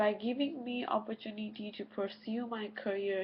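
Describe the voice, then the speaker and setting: A woman's somewhat breathy voice, fairly high in pitch, fairly even in intonation, at a fairly slow pace. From Nepal. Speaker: university student. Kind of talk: class presentation. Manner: halting.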